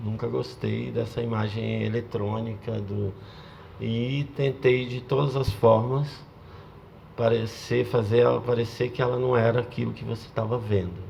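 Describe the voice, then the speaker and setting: Over noticeable background noise, a man talks at a fairly slow pace with a medium pitch and flat, monotone intonation. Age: 60s. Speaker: video artist. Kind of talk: panel talk. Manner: halting.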